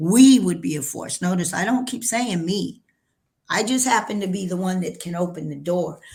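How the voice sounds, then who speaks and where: Speaking with an American accent, a woman with a medium pitch and a somewhat breathy voice talks at a moderate pace with lively intonation. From New Mexico, US Southwest. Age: 60s. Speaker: cannabis entrepreneur. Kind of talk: interview. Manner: animated.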